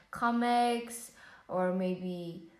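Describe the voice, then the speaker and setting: A woman speaks with a Vietnamese accent and ordinary pitch variation. The room echo is audible. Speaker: English learner practicing IELTS speaking. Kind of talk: exam speaking practice. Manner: hesitant with fillers.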